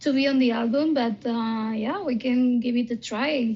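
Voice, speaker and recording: Her voice is high-pitched, and the woman speaks with a Spanish accent. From Spain. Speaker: band singer. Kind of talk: interview. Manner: hesitant, many fillers.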